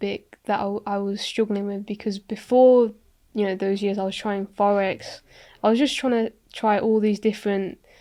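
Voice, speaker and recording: A woman's fairly high-pitched voice with a West Midlands accent. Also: very clean recording, silent background. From England, Coventry. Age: 20s. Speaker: property investor. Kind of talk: podcast interview. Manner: halting.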